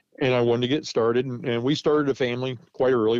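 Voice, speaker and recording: This man speaks very fast at a medium pitch, his intonation fairly even. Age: 60s. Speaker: muzzleloading reenactor and storyteller. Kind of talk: casual interview chat. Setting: podcast interview. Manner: informal, self-deprecating, with hesitations.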